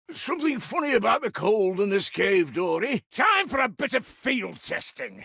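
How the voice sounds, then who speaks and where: A put-on character voice from a man, extremely high in pitch, moderate pace with hardly any pauses. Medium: video game.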